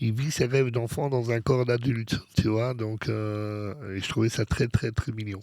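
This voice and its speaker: A man at medium pitch, fairly slow in pace with hardly any pauses, and fairly even in intonation. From Belgium. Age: 50s. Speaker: DJ. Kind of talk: interview. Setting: studio. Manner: halting, many fillers.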